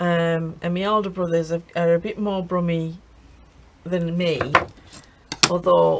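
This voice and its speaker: Amid noticeable background noise, a woman speaks at a fairly slow pace in a monotone, flat intonation, with long, frequent pauses. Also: fairly low pitch for a woman. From English Midlands (Birmingham) then northeast England. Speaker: crafting YouTuber. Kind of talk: casual chat during craft tutorial.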